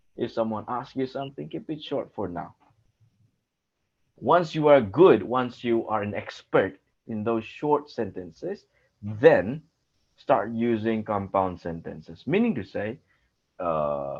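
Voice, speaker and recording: Big swings in loudness and very wide pitch swings mark this man's medium-pitched voice, which moves at a fairly slow pace with long, frequent pauses. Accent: Assamese. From India, Assam. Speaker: English speaking coach. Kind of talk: tutoring session. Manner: slow, deliberate.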